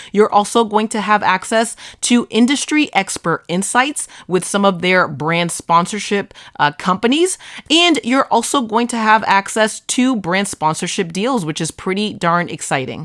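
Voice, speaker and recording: Speaking at a moderate pace with an American accent, a woman uses lively intonation at a medium pitch. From Boston area, US. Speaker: social media marketing creator. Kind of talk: tutorial.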